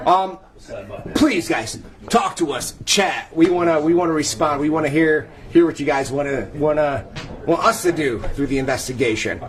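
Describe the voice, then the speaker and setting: A man's fairly high voice at a moderate pace with ordinary pitch variation, audible room echo and noticeable background noise. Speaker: paranormal investigator. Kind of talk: live-streamed event tour. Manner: loud; animated.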